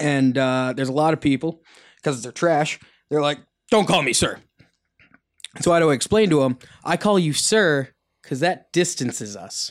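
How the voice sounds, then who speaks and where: In a playful tone, a man with a fairly high pitch talks at a moderate pace, with lively intonation and long, frequent pauses. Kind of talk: casual podcast chat. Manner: joking, playful.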